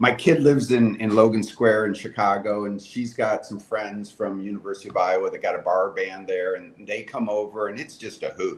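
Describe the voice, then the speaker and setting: The voice has big swings in loudness and ordinary pitch variation, set against noticeable background noise. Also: man, hardly any pauses. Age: 60s. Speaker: gravel race founder. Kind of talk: casual chat.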